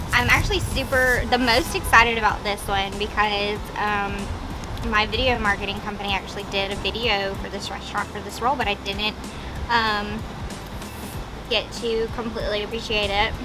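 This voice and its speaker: Music can be heard behind the voice. A woman talks at an even, moderate speed. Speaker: food reviewer. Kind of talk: casual vlog chat. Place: street.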